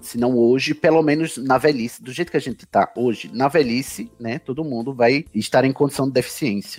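Music plays in the background as a man of medium pitch speaks at a fairly quick pace. His pitch variation is ordinary, and the sound is dry and close with no echo. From Campina Grande, Paraíba, northeastern Brazil. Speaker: podcaster and federal civil servant. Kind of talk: interview conversation.

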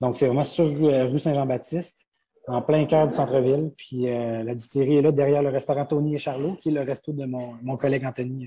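A man talks at a fairly quick pace with fairly high pitch and a dark, mellow tone. His delivery is somewhat breathy, with monotone, flat intonation. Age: 20s. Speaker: distillery co-owner. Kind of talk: interview. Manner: halting.

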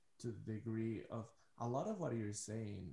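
A man's fairly low, somewhat breathy voice with a dark, mellow tone. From Ecuador. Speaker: podcast host. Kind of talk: casual interview.

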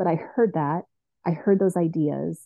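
A woman with a fairly low pitch talks at a fairly slow pace. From Iowa. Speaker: teacher. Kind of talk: interview about faith journey.

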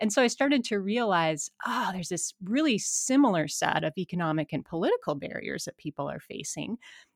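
In an American accent, a woman at medium pitch swings very widely up and down. She goes at a fairly quick pace with hardly any pauses, in a dry, close sound with no echo. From Montana, US. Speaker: environmental studies professor and author. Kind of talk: interview conversation.

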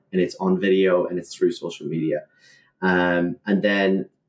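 This is a man speaking. His pace is moderate. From rural Ireland, small fishing village. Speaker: real estate agent. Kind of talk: interview.

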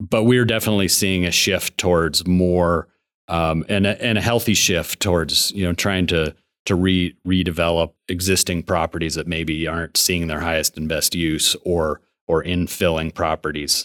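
Recorded very cleanly with a silent background and a dry, close sound with no echo, a man with a very deep, low pitch talks at a moderate pace with fairly even intonation. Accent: American. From Montana, Billings. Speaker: engineering firm executive. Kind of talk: interview.

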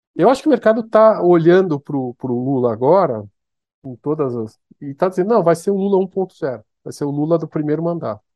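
The voice moves at a fairly quick pace with very wide pitch swings. Its loudness swings a lot too. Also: man, fairly high pitch for a man. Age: 50s. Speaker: economist and fund manager. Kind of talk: interview. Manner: halting, with many repetitions.

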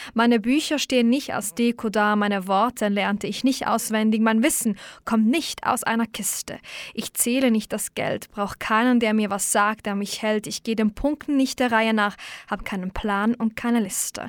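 In a very clean recording with a silent background and a dry, close sound with no echo, a woman with an unremarkable speaking voice talks at a fairly high pitch with fairly even intonation. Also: moderate pace. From Switzerland, Baden region. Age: 20s. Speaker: radio host. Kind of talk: poetry slam; interview. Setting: radio studio.

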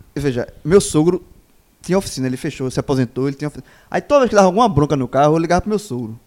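Very fast speech with lively intonation comes through on a very clean recording with a silent background. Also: man, fairly high pitch for a man. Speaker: football pundit. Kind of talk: casual debate.

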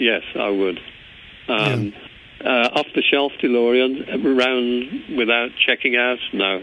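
A man's medium-pitched voice with an English accent, a very slow pace, fairly even intonation and very even loudness. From England. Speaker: former car company employee. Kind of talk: casual interview. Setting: phone call.

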